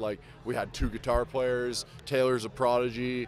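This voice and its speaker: The speaker has a Canadian accent and a moderate pace. The sound is dry with no echo, and light background noise is present. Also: man. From Ontario, Canada. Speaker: metal band musician. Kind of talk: casual interview chat. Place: street. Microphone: handheld.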